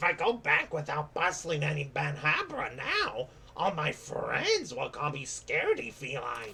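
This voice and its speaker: A man uses a put-on character voice at a fairly high pitch. He speaks at a moderate pace over clear background noise. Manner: timid, cute.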